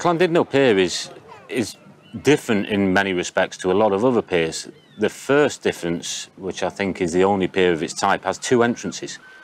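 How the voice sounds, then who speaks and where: A man speaks at a fairly low pitch and a moderate pace. He has a plain, everyday voice, and the sound is dry with no echo. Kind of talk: interview answer. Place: waterside. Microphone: lapel.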